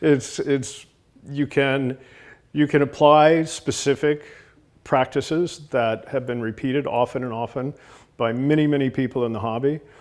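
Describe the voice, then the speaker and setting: A man's fairly high-pitched voice at a moderate pace with fairly even intonation. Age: 60s. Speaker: aquarium designer, company founder. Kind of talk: talking-head interview. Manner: hesitant, many fillers and repeated words.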